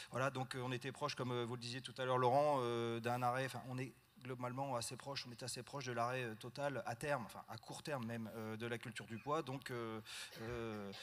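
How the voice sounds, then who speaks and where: The voice holds a flat, monotone intonation and moves at a fairly quick pace. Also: man, medium pitch for a man. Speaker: farmer and farm union board member. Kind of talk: panel discussion at a general assembly. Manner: fast; hesitant, many fillers.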